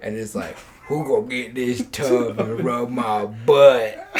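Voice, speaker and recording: In a gravelly, put-on character voice, a man projects at medium pitch with fairly even intonation, a fairly slow pace and big swings in loudness. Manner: comedic flirting.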